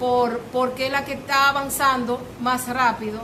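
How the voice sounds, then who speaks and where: A high-pitched woman with a Dominican accent, plus noticeable background noise and audible room echo. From Dominican Republic, Santo Domingo. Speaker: lecturer on languages. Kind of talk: public talk to a cultural group. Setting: cultural center with audience. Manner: hesitant, many fillers.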